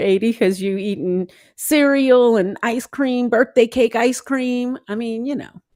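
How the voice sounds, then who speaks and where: In an American accent, a woman speaks at a fairly high pitch with ordinary pitch variation on a very clean recording with a silent background. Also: hardly any pauses. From US South, New Orleans. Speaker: podcast host. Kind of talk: casual chat.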